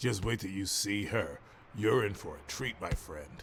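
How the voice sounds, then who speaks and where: With clear background noise behind him, a man does a raspy put-on character voice at a fairly low pitch, a moderate pace and ordinary pitch variation. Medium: video game. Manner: casual, jokey, lecherous; stammers on some words.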